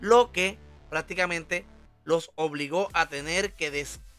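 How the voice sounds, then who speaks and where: Music plays behind a man with a high pitch who speaks at a very slow pace with fairly even intonation. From Puerto Rico. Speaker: online commentator. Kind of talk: casual talk to camera, entertainment news commentary.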